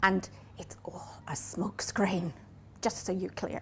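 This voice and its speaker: In a Northern Irish accent, a woman speaks at a moderate pace. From Northern Ireland. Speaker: business coach. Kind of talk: talk to a live audience.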